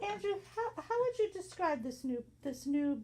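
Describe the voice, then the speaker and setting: A woman is speaking. Her pace is fairly slow. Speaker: community radio host. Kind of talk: radio interview. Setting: studio.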